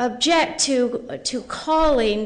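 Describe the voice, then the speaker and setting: A woman speaks with a fairly high pitch. Room echo is audible around her voice. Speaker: professor. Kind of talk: conference presentation.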